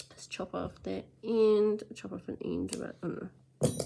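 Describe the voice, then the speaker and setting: Speaking in a New Zealand accent, a woman has a medium pitch. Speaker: crochet tutorial maker. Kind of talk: tutorial. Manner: casual and chatty.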